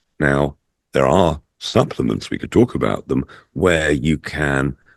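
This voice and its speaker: A man with vocal fry at a fairly slow pace, in a dry, close sound with no echo. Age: 70s. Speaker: natural health supplement advocate. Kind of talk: podcast interview.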